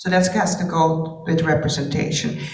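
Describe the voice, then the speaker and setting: A woman's voice comes through with noticeable background noise and audible echo from the room. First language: not English (English is her third language). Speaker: dance filmmaker and professor. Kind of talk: panel discussion. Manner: halting.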